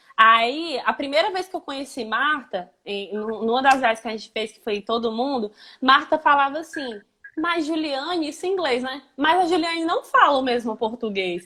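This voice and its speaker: A woman's raised, projected voice, high and bright with a sharp tone, lively in intonation, at a moderate pace, with big swings in loudness. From Brazil, Ceará. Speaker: language teacher. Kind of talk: live stream interview.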